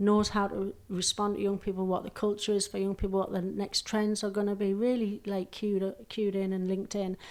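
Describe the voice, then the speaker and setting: Delivered in a monotone, flat intonation with a Geordie accent, the voice moves at a fairly quick pace with hardly any pauses, on a very clean recording with a silent background. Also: woman, medium pitch for a woman. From northeast England, Newcastle. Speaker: charity chief executive. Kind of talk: podcast interview.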